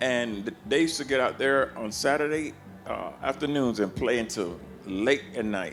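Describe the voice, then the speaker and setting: An American accent with lively intonation at a moderate pace, with audible room echo and music in the background. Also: man, medium pitch for a man. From US South (Georgia and Florida). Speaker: blues harmonica player. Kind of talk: interview storytelling. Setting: backstage at a festival. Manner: animated.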